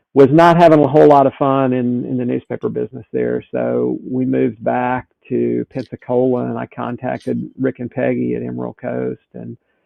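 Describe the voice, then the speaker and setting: A man at a moderate pace, with a Southern US accent. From US South. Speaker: sailing instructor and boat captain. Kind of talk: podcast interview.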